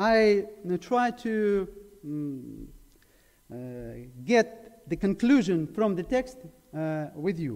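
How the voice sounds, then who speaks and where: A man with a Ukrainian accent speaks very slowly, with long, frequent pauses, lively intonation and a high pitch. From Ukraine, Zaporizhia. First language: Ukrainian or Russian. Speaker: preacher. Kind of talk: sermon. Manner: halting.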